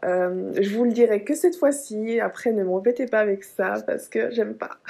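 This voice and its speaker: There is noticeable noise behind this woman's voice. She talks at a moderate pace and a fairly high pitch, with lively intonation. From Dominican Republic, Santo Domingo, until age five. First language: Spanish (speaking French). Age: 20s. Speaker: lifestyle vlogger. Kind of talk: casual chat to camera. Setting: hotel room. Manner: chatty, with filler hesitations.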